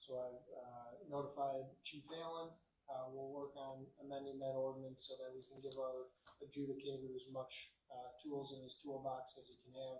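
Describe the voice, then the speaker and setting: Somewhat breathy and dark, mellow in tone, a man speaks at a medium pitch and moderate pace with monotone, flat intonation. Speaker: city attorney. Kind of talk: council meeting report. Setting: city council meeting room. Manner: soft-spoken; hesitant, many fillers.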